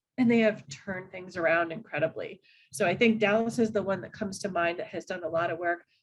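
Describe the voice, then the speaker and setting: A woman's somewhat breathy voice at a fairly quick pace, with lively intonation. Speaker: animal welfare panelist. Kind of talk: panel discussion.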